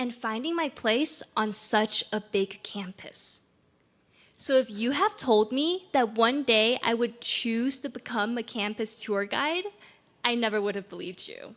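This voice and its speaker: This woman has a high pitch and a Chinese accent. She talks at a fairly slow pace. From China, Beijing. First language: Mandarin Chinese. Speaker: graduating student speaker. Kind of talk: commencement speech.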